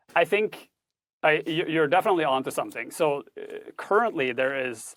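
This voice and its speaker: A man speaks with a Norwegian accent. The sound is dry and close, with no echo. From Norway. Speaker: tech ethics instructor and author. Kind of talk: podcast interview. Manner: formal, precise wording.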